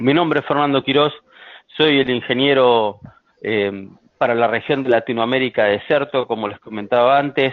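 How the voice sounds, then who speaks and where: With a strong Argentine accent, a man talks at a moderate pace and medium pitch. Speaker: software sales engineer. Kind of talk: webinar presentation. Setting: online webinar. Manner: frequent filler hesitations.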